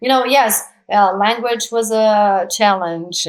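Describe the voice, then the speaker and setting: A woman with a Brazilian accent speaks with lively intonation. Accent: Brazilian accent, kept. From Brazil, São Paulo. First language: Portuguese. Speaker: actress and producer. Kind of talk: interview conversation.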